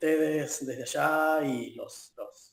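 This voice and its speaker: A man is speaking. He talks with an Argentine accent. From Argentina, La Plata. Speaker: football fan. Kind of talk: interview. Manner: halting.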